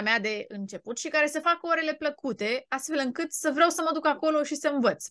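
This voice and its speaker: A woman talks at a fairly quick pace against a quiet background, the sound dry with no echo. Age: 30s. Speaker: English teacher, YouTuber. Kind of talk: casual vlog monologue. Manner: animated. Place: home room. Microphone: studio mic.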